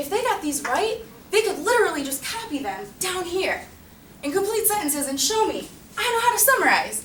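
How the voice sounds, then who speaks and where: Speaking fairly quickly with lively intonation, a woman's extremely high-pitched voice comes through audible room echo and noticeable background noise. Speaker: teacher. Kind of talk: presentation. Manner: fast.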